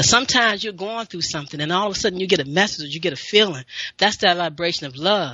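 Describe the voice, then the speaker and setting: In an unremarkable speaking voice, a woman talks at a fairly low pitch with lively intonation. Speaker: radio show host, health and wellness talker. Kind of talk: live radio show host talk.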